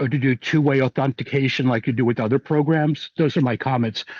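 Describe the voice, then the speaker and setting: Here a man talks in a plain, everyday voice at a fairly quick pace, his pitch fairly high with ordinary variation. The sound is dry and close with no echo, against a quiet background. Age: 60s. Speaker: medical cannabis patient commenting at public meeting. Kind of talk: public comment.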